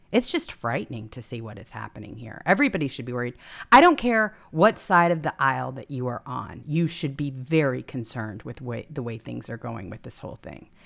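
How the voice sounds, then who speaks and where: In an American accent, a woman with a very deep, low pitch and vocal fry speaks in an animated tone at a fairly quick pace, with very wide pitch swings and big swings in loudness. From Mississippi, US South. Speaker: talk show co-host. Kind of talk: casual talk show chat. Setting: live online stream.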